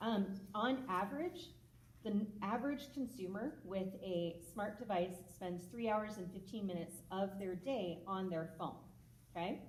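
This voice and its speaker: In a room with audible echo, a woman speaks at a fairly slow pace in a somewhat breathy voice. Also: medium pitch for a woman, ordinary pitch variation. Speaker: mental health clinician. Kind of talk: public talk. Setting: stage with audience. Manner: casual, conversational.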